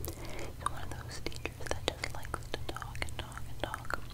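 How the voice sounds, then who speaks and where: A soft-spoken woman whispers at a moderate pace. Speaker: ASMR creator. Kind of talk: soft-spoken gossip chat during role-play. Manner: soft gossiping whisper. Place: home room. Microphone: studio mic.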